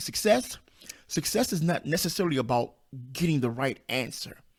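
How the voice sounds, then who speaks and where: Animated and lively in intonation, a man talks at a fairly quick pace with vocal fry. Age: 50s. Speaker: self-publishing coach, podcast host. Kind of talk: podcast monologue. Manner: animated, emphatic.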